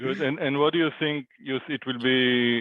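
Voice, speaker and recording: A man talks with a non-native accent. His intonation is fairly even. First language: not English. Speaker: meeting facilitator. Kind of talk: casual online meeting discussion.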